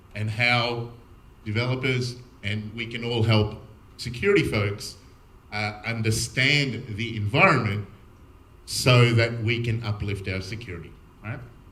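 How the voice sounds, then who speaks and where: A man with an Australian accent at a medium pitch, fairly even in intonation, with long, frequent pauses and audible room echo. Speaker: security architect, conference speaker. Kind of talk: conference talk. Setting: stage with audience. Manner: fast.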